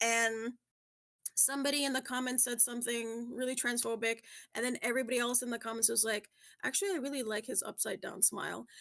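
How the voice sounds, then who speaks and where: With a plain, everyday voice, a woman speaks fairly quickly at a fairly high pitch with fairly even intonation. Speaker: podcast co-host. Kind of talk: casual podcast talk. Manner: friendly, reassuring, conversational.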